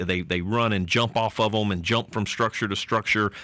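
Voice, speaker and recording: A man with a Southern US accent, a fairly low pitch, a bright, sharp tone, fairly even intonation, and a fairly quick pace. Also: very clean recording, silent background. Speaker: city manager.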